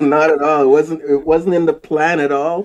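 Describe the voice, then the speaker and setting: A man's fairly high-pitched voice with a slight Jamaican accent and fairly even intonation. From Jamaica, moved to Canada as a child. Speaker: wood flooring professional. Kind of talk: interview.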